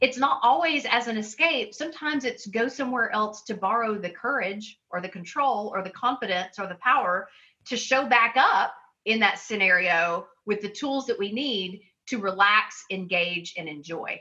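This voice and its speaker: This is a normal speaking voice with lively intonation, delivered at a moderate pace. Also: woman, fairly high pitch for a woman. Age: 50s. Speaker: author and life coach. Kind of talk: casual chat.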